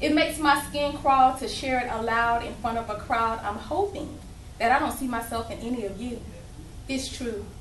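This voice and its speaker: At a moderate pace and with an American accent, the speaker's pitch varies in an ordinary way. There is audible room echo along with noticeable background noise. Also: woman. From Alabama. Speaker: spoken word poet. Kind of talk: poetry performance. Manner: loud.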